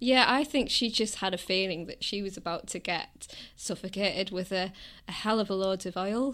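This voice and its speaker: A woman with a Teesside accent, medium pitch and ordinary pitch variation, on a very clean recording with a silent background. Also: moderate pace. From northern England, Middlesbrough. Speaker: film fan guest. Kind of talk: casual chat.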